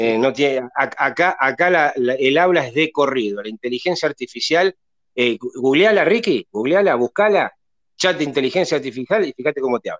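A man with a plain, everyday voice speaks at a moderate pace in a fairly high pitch. His intonation is lively, and the sound is dry and close with no echo. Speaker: football fan panelist, astrology commentator. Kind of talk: casual chat. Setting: live online audio room, from bed at home.

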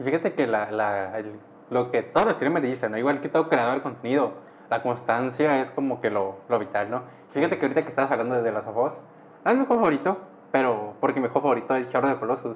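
A man with a medium-pitched voice talks very quickly, his pitch moving in an ordinary way. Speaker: podcast host. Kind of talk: casual chat.

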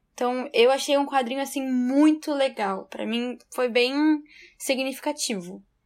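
The voice moves at a fairly slow pace with fairly even intonation, on a very clean recording with a silent background. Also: woman, high pitch for a woman. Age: 20s. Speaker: lawyer. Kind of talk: casual Bible study discussion.

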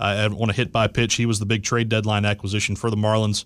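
In a very clean recording with a silent background, a man with a fairly low pitch talks very fast in a flat, monotone way. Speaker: baseball fan, sports commentator. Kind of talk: casual sports chat. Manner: conversational, hesitant with fillers.

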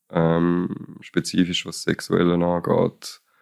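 A man speaks in a very deep, low pitch with monotone, flat intonation in a very clean recording with a silent background. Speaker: podcast co-host. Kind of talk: casual chat. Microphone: too far from the microphone.

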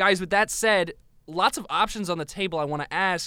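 At a moderate pace, a man with a high pitch and ordinary pitch variation projects a raised voice with a bright, sharp tone over a very clean recording and a silent background. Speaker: sports podcast co-host. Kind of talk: casual sports banter. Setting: studio.

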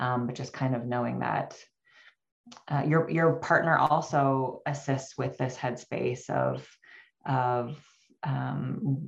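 A woman speaks at a very slow pace with vocal fry. Her pitch is very deep and low. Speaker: perinatal therapist. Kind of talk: interview conversation.

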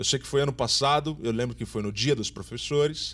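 Recorded very cleanly against a silent background, a man with an unremarkable speaking voice talks at a moderate pace in a medium pitch with lively intonation. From São Paulo, Brazil. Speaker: theatre teacher and director. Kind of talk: interview.

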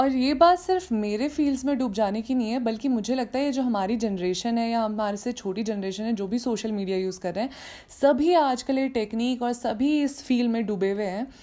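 In a plain, everyday voice, a woman with a fairly high pitch speaks at a moderate pace with ordinary pitch variation. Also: hardly any pauses. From Uttarakhand, Garhwal hills. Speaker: podcast host. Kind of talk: casual podcast monologue.

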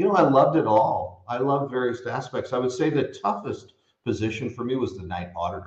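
A somewhat breathy voice with a Californian accent, a fairly quick pace and lively intonation. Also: man, medium pitch for a man. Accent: General American (Californian). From US West Coast (San Francisco Bay Area). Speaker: hospitality company co-founder. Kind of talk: interview conversation.

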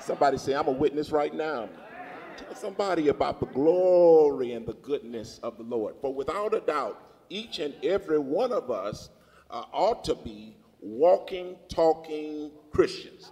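This man's voice has a dark, mellow tone, a moderate pace and big swings in loudness. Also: fairly high pitch for a man, lively intonation. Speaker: preacher. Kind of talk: sermon. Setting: church with congregation. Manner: exuberant, punctuated with laughter and praise.

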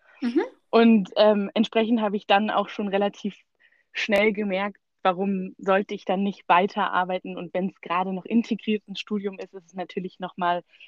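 A woman at medium pitch, moderate pace, monotone, flat intonation and big swings in loudness. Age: 20s. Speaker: recent graduate, student. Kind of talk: interview.

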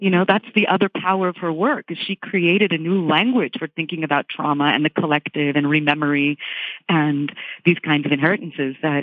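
A woman with an American accent speaks at a fairly quick pace, her pitch fairly low with ordinary variation. It is an unremarkable speaking voice. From Virginia, US. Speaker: book critic. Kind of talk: panel discussion. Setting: remote from Rome.

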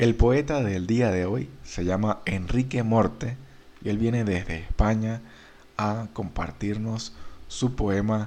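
A man speaks at a fairly slow pace with fairly low pitch, ordinary pitch variation, and an unremarkable speaking voice. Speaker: podcast host. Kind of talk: podcast intro and outro, scripted-sounding welcome. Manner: warm, friendly, formal.

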